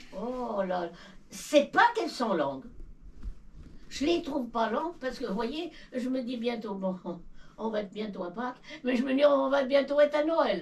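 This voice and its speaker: Noticeable background noise sits behind a woman's high-pitched voice and lively intonation. She speaks at a fairly slow pace, with long, frequent pauses. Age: 90s. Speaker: elderly villager. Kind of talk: casual chat. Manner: halting.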